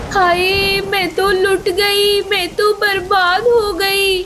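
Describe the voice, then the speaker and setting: A woman's put-on character voice, extremely high and monotone, delivered fairly slowly through clear background noise. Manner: wailing.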